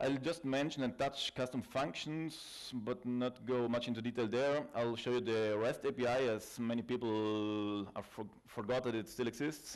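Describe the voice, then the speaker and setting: Loudness stays very even as a man speaks with fairly even intonation. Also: medium pitch for a man, moderate pace, hardly any pauses. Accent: South Tyrolean. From South Tyrol, northern Italy. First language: German dialect and Italian. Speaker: IT consultant and trainer. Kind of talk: conference talk. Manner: halting, with fillers.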